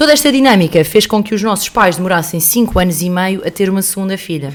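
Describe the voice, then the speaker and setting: Lively intonation marks this woman's medium-pitched voice at a very fast pace. Noticeable background noise is present. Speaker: podcast co-host. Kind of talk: reading aloud; casual chat. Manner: halting.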